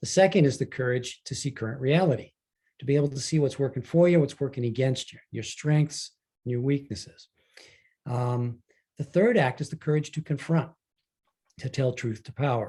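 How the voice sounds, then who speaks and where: At a moderate pace with long, frequent pauses, a man speaks in a somewhat breathy, dark, mellow voice with a fairly high pitch and ordinary pitch variation. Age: 70s. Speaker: leadership coach and author. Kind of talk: online talk to an audience.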